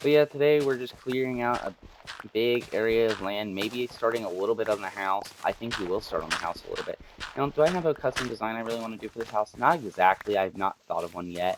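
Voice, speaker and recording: The speech runs at a very fast pace with ordinary pitch variation and noticeable background noise. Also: man, medium pitch for a man. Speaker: gaming YouTuber. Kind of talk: gameplay commentary. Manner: casual with many fillers and restarts.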